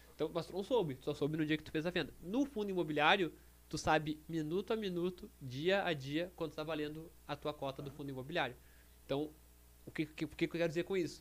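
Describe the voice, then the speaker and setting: This man, with an unremarkable speaking voice, talks fairly quickly at a fairly high pitch, his pitch varying in an ordinary way. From Rio Grande do Sul, Brazil (Canoas). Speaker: financial market professional. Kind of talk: casual chat. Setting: studio.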